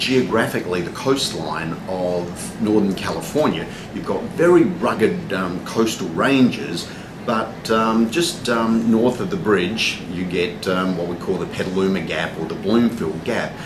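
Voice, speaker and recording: Speaking at a fairly slow pace with lively intonation, a man with a fairly low pitch and a strong Australian accent is heard amid noticeable background noise and audible room echo. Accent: thick (Australian). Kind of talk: interview. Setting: cafe. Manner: many fillers (um, uh).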